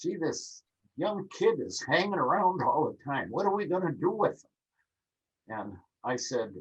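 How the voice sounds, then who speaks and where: Here a man talks at a fairly slow pace in an Upper Midwest accent. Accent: Upper Midwest American. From Minnesota, Minneapolis. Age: 80s+. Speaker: birding author and instructor. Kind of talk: interview.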